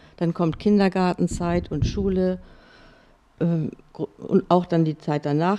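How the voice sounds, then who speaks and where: Speaking very slowly, a woman uses a fairly low pitch and a dark, mellow tone, keeping her intonation fairly even. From Schleswig-Holstein, Neumünster. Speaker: author and former journalist. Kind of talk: casual interview.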